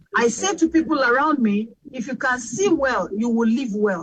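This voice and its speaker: At a fairly slow pace, a woman with a Nigerian accent speaks with very wide pitch swings. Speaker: radio host. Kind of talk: panel discussion.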